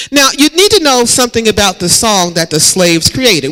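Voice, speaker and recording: The man's pitch swings very widely as he speaks. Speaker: pastor. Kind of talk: sermon delivered to a congregation.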